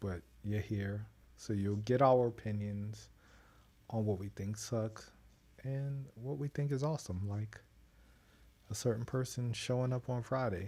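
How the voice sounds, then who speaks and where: The voice is soft-spoken and somewhat breathy with a dark, mellow tone, moving at a fairly slow pace with fairly even intonation and long, frequent pauses. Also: man, very clean recording, silent background. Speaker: wrestling podcast host. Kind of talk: casual chat.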